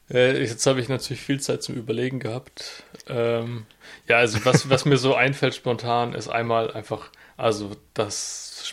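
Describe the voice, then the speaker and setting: At a fairly slow pace, a man talks at medium pitch with a monotone, flat intonation. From southwest Germany (Freiburg). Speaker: podcast co-host, student and delivery driver. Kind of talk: casual chat.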